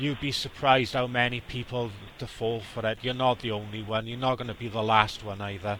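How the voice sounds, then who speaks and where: In a strong Welsh accent, a man talks at a fairly quick pace with a bright, sharp tone and monotone, flat intonation. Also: medium pitch for a man. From South Wales. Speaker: scam baiter. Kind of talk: phone call advice to scam victim.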